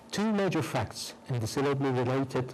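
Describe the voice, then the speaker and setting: A man speaks fairly quickly, and room echo can be heard around him. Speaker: professor. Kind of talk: lecture. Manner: reading a prepared text.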